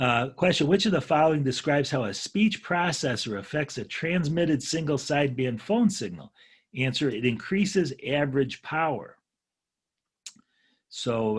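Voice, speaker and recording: A man speaks at a moderate pace, his pitch fairly high for a man. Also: very clean recording, silent background. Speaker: ham radio instructor. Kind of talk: lecture. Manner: loud; halting.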